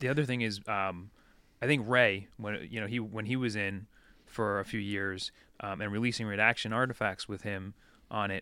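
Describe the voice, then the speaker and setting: In a very clean recording with a silent background, a man with an American accent speaks at a moderate pace and a fairly low pitch, his tone bright and sharp and his intonation fairly even. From Long Island, New York. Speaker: rock band guitarist. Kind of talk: casual chat. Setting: band practice space.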